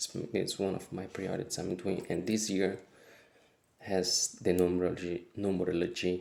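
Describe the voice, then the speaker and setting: A man talks at a fairly slow pace, his pitch very deep and low. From Brazil. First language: Portuguese. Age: 30s. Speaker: wellbeing vlogger. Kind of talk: casual vlog monologue. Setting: home kitchen. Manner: halting.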